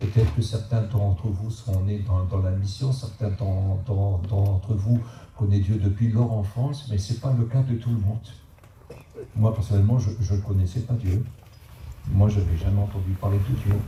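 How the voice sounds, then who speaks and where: A man talks at a moderate pace with fairly even intonation. Room echo can be heard. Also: fairly low pitch for a man. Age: 70s. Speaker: preacher. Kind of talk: sermon. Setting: church. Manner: halting.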